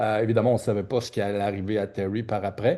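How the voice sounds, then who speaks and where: Over a quiet background, a man with a Quebec accent talks at a fairly quick pace in a dark, mellow tone. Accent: Québécois French. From Quebec (Trois-Rivières). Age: 60s. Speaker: oncologist and research network executive director. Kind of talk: conference speech. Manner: halting, many hesitations and repetitions.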